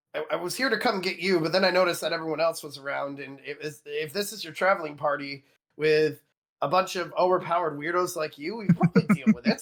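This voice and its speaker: A raspy, high-pitched put-on character voice from a man, delivered at a very fast pace. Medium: actual play. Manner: blunt, gruff, joking.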